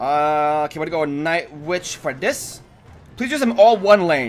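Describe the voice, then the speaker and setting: A man's fairly high-pitched voice at a fairly slow pace, with lively intonation and music in the background. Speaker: gaming youtuber. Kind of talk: live gameplay commentary. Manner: animated.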